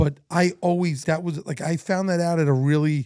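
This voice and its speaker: In a very clean recording with a silent background, a man speaks in an animated tone. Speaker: baseball coach. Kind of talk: casual chat. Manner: loud.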